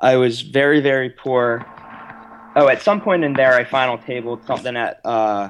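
An ordinary speaking voice from a man with an American accent, at a moderate pace against a quiet background. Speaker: blogger and former online poker player. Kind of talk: casual chat.

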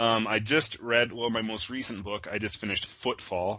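This man has an unremarkable speaking voice with a fairly low pitch. He talks at a moderate pace. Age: 30s. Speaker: internet artist, creator of a horror meme. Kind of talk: casual interview.

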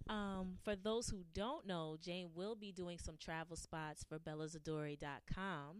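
A woman with a plain, everyday voice speaks at a fairly slow pace in a fairly low pitch, with ordinary pitch variation. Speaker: guest host. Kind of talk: radio interview.

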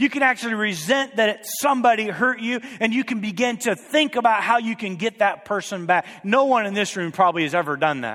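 High-pitched and animated, a man talks at a fairly quick pace with hardly any pauses, lively intonation and a bright, sharp tone. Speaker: preacher. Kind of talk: sermon to a live congregation, teaching and exhorting. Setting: church. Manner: animated, urgent, emphatic, building through repetition; conversational, prompts the audience with questions.

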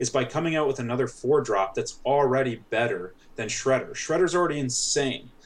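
A man with a Canadian accent, a plain, everyday voice at medium pitch and a fairly quick pace. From Canada. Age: 20s. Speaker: competitive card game player. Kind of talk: casual chat.

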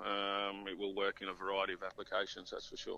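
A man with an Australian accent and a bright, sharp tone. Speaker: fishing tackle sales rep. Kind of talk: casual interview. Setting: phone call.

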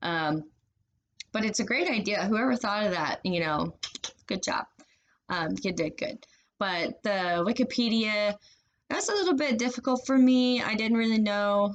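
A woman with a fairly high voice speaks at a moderate pace. Her speech has long, frequent pauses. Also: lively intonation. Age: 30s. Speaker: college student. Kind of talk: class assignment monologue. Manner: casual with many fillers.

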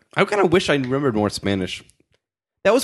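Against a quiet background, a very fast voice with an American accent swings very widely in pitch. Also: man. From Connecticut, US. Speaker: podcast host. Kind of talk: casual chat.

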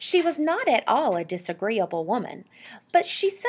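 What you hear is plain reading aloud.

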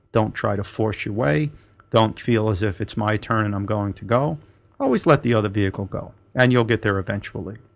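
This man has a plain, everyday voice, pitched fairly low. He talks at a fairly quick pace with ordinary pitch variation. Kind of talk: turn-by-turn route directions read out in the style of a traffic report. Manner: clipped, businesslike and instructional, rattling off street names and turns in order.

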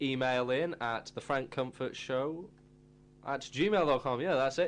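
The man has an ordinary speaking voice with a medium pitch and ordinary pitch variation. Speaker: radio host. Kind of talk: casual student radio show chat. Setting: studio. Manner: rambling, casual, filler-heavy, laughing; jokey, chatty DJ patter with station jingles and plugs.

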